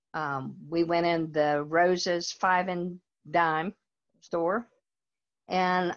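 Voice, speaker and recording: Against a quiet background, a woman with a Southern US accent speaks at a fairly low pitch. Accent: Southern American. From US South, North Carolina. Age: 70s. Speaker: church member. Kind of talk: personal testimony interview. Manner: halting.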